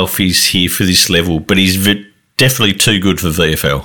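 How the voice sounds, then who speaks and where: Bright and sharp in tone, this voice moves at a moderate pace with an Australian accent. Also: man. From Tasmania. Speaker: fantasy football podcaster. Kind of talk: casual chat.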